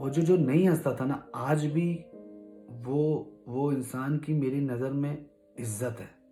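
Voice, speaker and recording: Music plays in the background as a man speaks at a fairly high pitch. His intonation is fairly even. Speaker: vlogger. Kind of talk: personal story told to camera.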